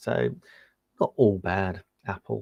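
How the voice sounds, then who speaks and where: A man speaks in an English accent with a fairly low pitch. The recording is very clean with a silent background and a dry, close sound with no echo. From England. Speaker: tech reviewer and live-stream seller. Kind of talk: live-stream product demo. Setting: live stream. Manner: casual, chatty with fillers.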